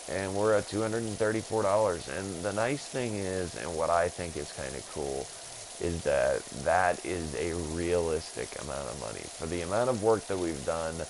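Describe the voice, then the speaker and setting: Over noticeable background noise, a man speaks at a moderate pace with a very deep, low pitch. His intonation is lively. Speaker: gaming streamer. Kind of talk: live stream gameplay commentary. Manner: halting, stumbling over words; casual, rambling.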